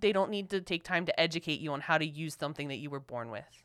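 A woman with an American accent at a very fast pace, on a very clean recording with a silent background. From Philadelphia, US. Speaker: podcast co-host. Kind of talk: casual chat. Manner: emotional, impassioned.

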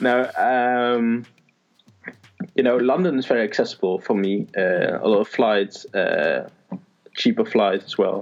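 Speaking in a Dutch accent at a fairly slow pace, a man keeps very even loudness and leaves long, frequent pauses. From Netherlands. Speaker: lifestyle blogger. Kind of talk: casual chat. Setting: call recording. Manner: halting.

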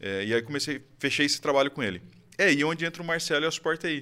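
A man speaks at a very fast pace with a bright, sharp tone and vocal fry. The recording is very clean, with a silent background. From Brazil, Campinas (São Paulo state). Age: 30s. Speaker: IT services business owner. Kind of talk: interview, casual chat.

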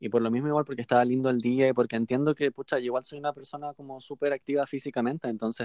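A man with a Chilean accent, the sound dry and close with no echo. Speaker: podcast co-host. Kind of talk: casual chat. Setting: video call.

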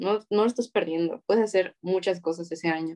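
A woman speaks with a Mexican accent and ordinary pitch variation. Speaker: university student. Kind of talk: casual chat. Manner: stutters.

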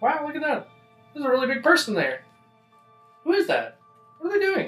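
Using a put-on character voice, a man speaks at a very fast pace in an extremely high pitch, with faint music in the background. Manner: curious, wide-eyed.

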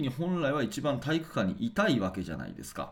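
In a very clean recording with a silent background, a man speaks with very wide pitch swings. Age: 40s. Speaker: basketball coach and podcast host. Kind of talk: solo radio talk.

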